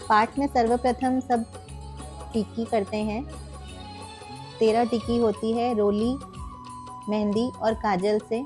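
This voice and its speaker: Over music in the background, a woman speaks very slowly in a flat monotone, with long, frequent pauses. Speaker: homemaker, married. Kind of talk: casual vlog narration.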